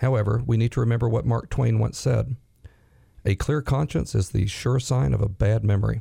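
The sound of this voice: A man speaks at medium pitch with a raspy quality and vocal fry. His tone is dark and mellow, with fairly even intonation. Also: moderate pace.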